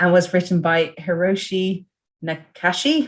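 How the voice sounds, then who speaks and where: A woman speaks with an English accent. Her pitch is fairly low. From England. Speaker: podcast host. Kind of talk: reading prepared notes; casual chat.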